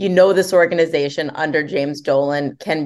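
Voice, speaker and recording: Over a quiet background, a woman with an unremarkable speaking voice talks at a fairly quick pace and fairly low pitch. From New Jersey. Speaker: sports reporter. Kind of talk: podcast interview.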